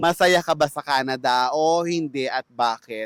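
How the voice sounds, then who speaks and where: Very slowly, a man speaks, the sound dry and close with no echo. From Philippines. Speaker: vlogger, fast food worker. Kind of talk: vlog monologue. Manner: polite.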